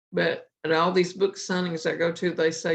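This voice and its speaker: Vocal fry runs through this woman's fairly low-pitched voice. She talks with an Appalachian accent at a moderate pace. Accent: Appalachian Southern US. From Appalachia, Virginia coal country. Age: 70s. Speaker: cookbook author, county fair cook. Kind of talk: interview.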